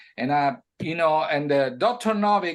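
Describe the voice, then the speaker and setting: At a moderate pace, a man with an Italian accent speaks in a fairly high voice with lively intonation. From Italy. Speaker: music producer. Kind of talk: interview. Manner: halting, with many fillers.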